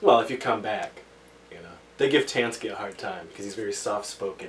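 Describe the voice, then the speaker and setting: Noticeable background noise accompanies a man who talks at a fairly quick pace with big swings in loudness. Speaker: podcast host. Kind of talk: casual chat.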